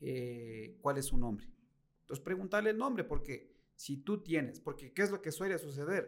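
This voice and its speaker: The man has an unremarkable speaking voice. He talks at a fairly slow pace with lively intonation. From Ecuador, Latacunga. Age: 40s. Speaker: car salesman. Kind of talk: interview.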